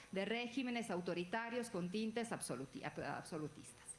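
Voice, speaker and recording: A woman speaks with an Italian accent. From Italy. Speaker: legal scholar, book presenter. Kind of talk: panel talk at book presentation. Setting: event with audience and panel table. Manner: halting, with fillers.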